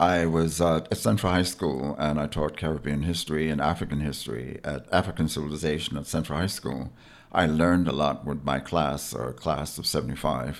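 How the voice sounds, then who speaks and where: Very deep and low with vocal fry, a man's voice with an American accent moves at a fairly quick pace with hardly any pauses. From US Virgin Islands (St. Thomas). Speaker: historian and educator. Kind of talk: interview. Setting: radio studio.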